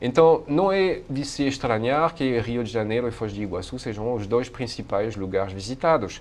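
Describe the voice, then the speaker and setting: In a French accent, a man at medium pitch keeps a moderate pace with hardly any pauses. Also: lively intonation. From France. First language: French (speaking Portuguese). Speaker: professor, Asia studies researcher. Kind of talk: interview. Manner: halting, many hesitations.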